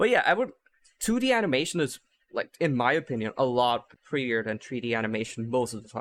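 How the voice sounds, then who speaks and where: A man with a non-native accent at medium pitch, ordinary pitch variation and a fairly quick pace. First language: not English. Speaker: podcast host. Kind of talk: casual chat. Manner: animated.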